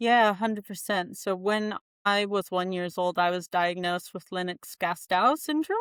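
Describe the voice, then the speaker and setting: With a moderate pace and a dry, close sound free of echo, a woman talks at a medium pitch. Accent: American. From US Pacific Northwest (Spokane, Washington). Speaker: occupational therapist. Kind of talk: podcast interview.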